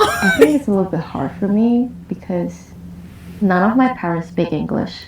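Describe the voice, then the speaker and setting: A woman talks at a medium pitch with lively intonation. Noticeable background noise runs underneath. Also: moderate pace. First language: not English (family mother tongue). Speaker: reality show participant. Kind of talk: group therapy sharing.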